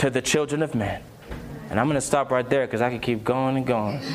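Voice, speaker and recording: Noticeable background noise is present. A man is talking. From England. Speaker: preacher sharing testimony. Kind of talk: sermon and personal testimony, ending in an altar call. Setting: stage with audience at a youth conference. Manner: urgent, fervent preacher in full flow, pleading and exhorting; emphatic, direct appeals to the congregation.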